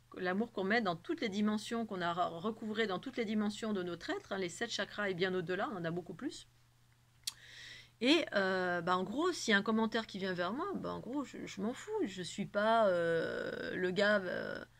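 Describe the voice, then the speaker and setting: A woman speaks with a medium pitch. Her intonation is lively. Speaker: spiritual channel host. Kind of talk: spiritual monologue to camera. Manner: fast; animated.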